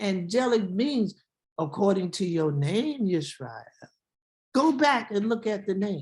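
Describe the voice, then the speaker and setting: Lively intonation marks a woman's somewhat breathy voice. She speaks at a fairly slow pace with medium pitch. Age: 70s. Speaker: Hebrew Israelite teacher. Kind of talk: sermon. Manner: animated.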